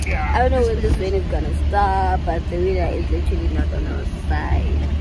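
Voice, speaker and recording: A woman's voice has a dry sound with no echo over loud background noise. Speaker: vlogger. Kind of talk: casual vlog chat. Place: car. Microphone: phone near.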